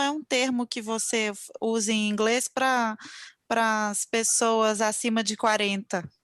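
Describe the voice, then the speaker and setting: This woman talks at a very slow pace in a fairly high pitch. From Minas Gerais, Brazil. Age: 40s. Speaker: podcast host. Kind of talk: casual chat.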